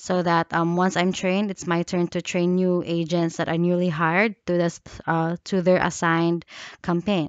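Delivery is at a moderate pace with monotone, flat intonation. The sound is dry with no echo over a quiet background. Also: woman, fairly low pitch for a woman. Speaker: job applicant. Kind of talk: self-introduction video. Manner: halting. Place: home room. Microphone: headset.

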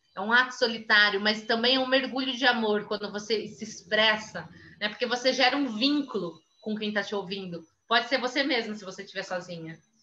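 A woman talks at a fairly quick pace with ordinary pitch variation. Her loudness swings widely over light background noise. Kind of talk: lecture. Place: home room. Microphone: webcam.

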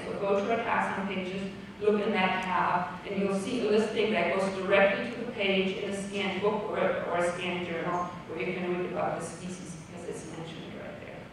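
A woman talks at a fairly quick pace with monotone, flat intonation. Strong room echo and noticeable background noise surround her. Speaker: conference presenter. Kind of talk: lecture. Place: hall.

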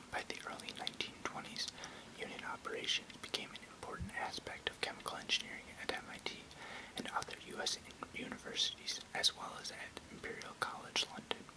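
The talking moves at a fairly quick pace. Loud background noise runs underneath it. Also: man. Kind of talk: reading aloud an encyclopedic text. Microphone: webcam.

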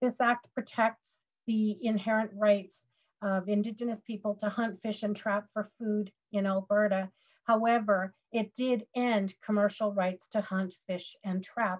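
With a Canadian accent, a woman speaks at a fairly high pitch in a somewhat breathy, monotone, flat voice at a fairly slow pace over a quiet background. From Western Canada. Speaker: legal education presenter. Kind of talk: webinar presentation. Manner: hesitant, many fillers. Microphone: webcam.

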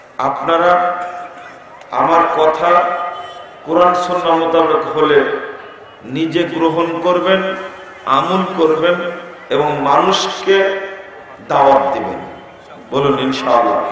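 Over light background noise and strong room echo, a man speaks with a high pitch. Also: fairly even intonation. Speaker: preacher. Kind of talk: sermon. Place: stage.

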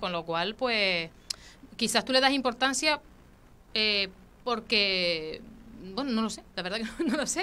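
Woman's voice, bright and sharp in tone, with ordinary pitch variation. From Canary Islands. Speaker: local politician. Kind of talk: interview. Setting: studio. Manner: halting. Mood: calm, somewhat defensive. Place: studio. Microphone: studio mic.

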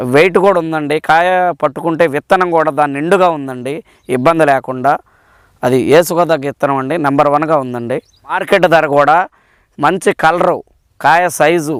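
In a plain, everyday voice, a man speaks with fairly even intonation, the sound dry and close with no echo in a very clean recording with a silent background. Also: fairly high pitch for a man. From Palnadu district, Andhra Pradesh. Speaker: farmer. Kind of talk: testimonial.

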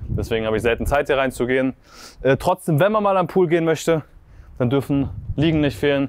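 Delivered at a very fast pace, a man's fairly high voice shows ordinary pitch variation in a dry sound with no echo. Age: 20s. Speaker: agency owner and vlogger. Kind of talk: sales pitch; house tour vlog. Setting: outdoors by the sea. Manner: casual, animated.

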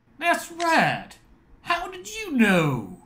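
A put-on character voice with a fairly bright tone and very wide pitch swings. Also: very slow pace.

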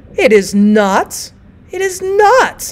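A woman shouting in a raised, projected, put-on character voice at an extremely high pitch. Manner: screaming, indignant.

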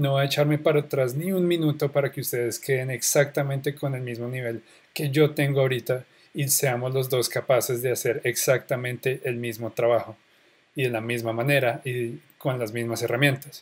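In a very clean recording with a silent background, a man with a Bogotá accent speaks at a moderate pace, his medium-pitched voice somewhat breathy and his intonation fairly even. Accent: Colombian Spanish (Bogotá). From Colombia, Bogotá. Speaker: online course instructor. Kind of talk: tutorial. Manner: casual.

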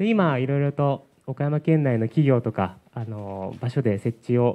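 A man talks with ordinary pitch variation and a dark, mellow tone. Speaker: staff member. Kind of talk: report at meeting. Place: hall. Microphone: handheld.

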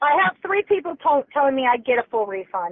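A woman's loud, high voice at a fairly quick pace, with very wide pitch swings. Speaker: customer, caller. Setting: phone, via car Bluetooth. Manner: agitated, indignant.

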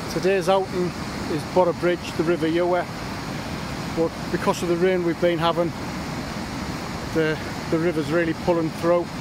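With noticeable background noise and a dry sound with no echo, a man talks at a moderate pace and leaves long, frequent pauses. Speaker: paddle boarder vlogger. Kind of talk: casual vlog chat. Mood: cheerful, relaxed. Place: waterside. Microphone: phone near.

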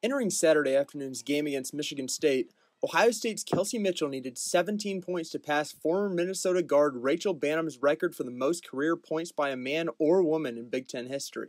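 Dry and close with no echo, a man with an unremarkable speaking voice talks with hardly any pauses, using a fairly high pitch and ordinary pitch variation. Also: fairly quick pace. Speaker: student sports reporter. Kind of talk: news reading.

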